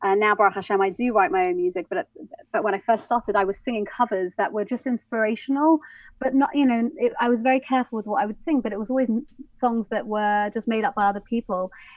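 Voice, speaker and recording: Speaking at a very fast pace, a woman talks with an English accent. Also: fairly high pitch for a woman, ordinary pitch variation. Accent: English, posh. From London, England. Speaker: soul and jazz singer. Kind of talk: interview.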